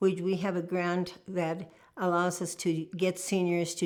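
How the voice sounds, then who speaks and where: Her intonation monotone and flat, a woman with an American accent talks at a fairly low pitch. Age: 80s+. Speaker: retiree sharing life memories. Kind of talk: oral history interview.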